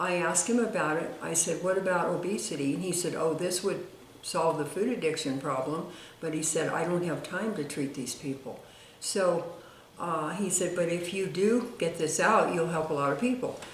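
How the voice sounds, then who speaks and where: Amid noticeable background noise and audible room echo, a woman speaks at a moderate pace and fairly low pitch with ordinary pitch variation. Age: 80s+. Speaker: retired diet author. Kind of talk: personal testimony to camera. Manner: halting, many fillers.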